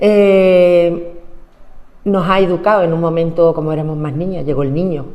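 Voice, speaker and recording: A woman at a fairly low pitch and moderate pace, with fairly even intonation and audible room echo. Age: 60s. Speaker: trade unionist. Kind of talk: oral history interview.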